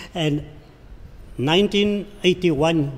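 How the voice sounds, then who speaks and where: Noticeable background noise runs through the clip. A man is talking over it. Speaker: former resident. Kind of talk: testimony.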